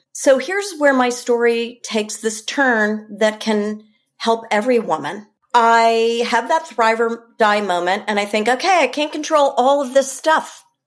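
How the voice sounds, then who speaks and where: A woman talks at a fairly slow pace with an American accent. Her fairly high voice has lively intonation. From New York, Westchester. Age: 60s. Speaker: wellness coach. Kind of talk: podcast interview. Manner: animated.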